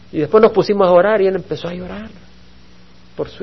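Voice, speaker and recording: Noticeable noise sits in the background. Over it, this man talks very quickly. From El Salvador. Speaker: pastor. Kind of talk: Bible study sermon.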